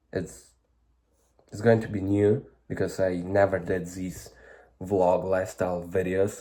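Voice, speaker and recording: Speaking at a fairly slow pace, a man with a very deep, low pitch and a dark, mellow tone talks with a Ukrainian accent. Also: very clean recording, silent background. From Ukraine. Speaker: vlogger. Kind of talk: casual vlog monologue. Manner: halting.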